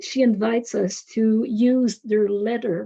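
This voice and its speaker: Speaking with a French accent, a woman keeps a fairly high pitch and ordinary pitch variation. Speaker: university professor. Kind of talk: webinar presentation. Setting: webinar.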